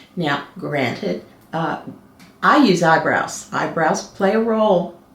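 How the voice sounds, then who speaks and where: Speaking at a very slow pace, a woman with fairly low pitch and lively intonation is heard over noticeable background noise and audible room echo. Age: 60s. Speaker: color analyst, co-host. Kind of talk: casual chat. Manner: hesitant, many fillers.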